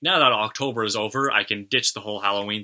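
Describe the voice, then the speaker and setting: A man with a slight Canadian accent talks very fast at a fairly low pitch, his tone bright and sharp and his intonation fairly even. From Canada. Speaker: metal YouTuber. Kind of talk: casual vlog monologue. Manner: casual, some hesitations.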